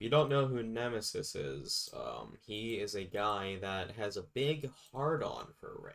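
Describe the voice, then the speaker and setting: A man speaks at a fairly slow pace with hardly any pauses and big swings in loudness. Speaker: streamer. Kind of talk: casual chat. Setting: live stream. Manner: low energy.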